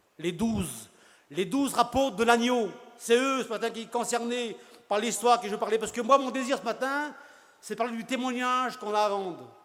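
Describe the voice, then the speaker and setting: A man's high-pitched voice at a fairly quick pace. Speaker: preacher. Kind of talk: sermon. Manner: fast.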